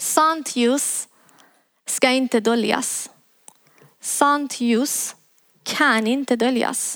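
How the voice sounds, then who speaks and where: In a Persian accent, a woman with a high voice speaks at a very slow pace with fairly even intonation and long, frequent pauses. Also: very even loudness. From Iran. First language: Persian (speaking Swedish). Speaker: preacher. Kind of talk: sermon. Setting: church.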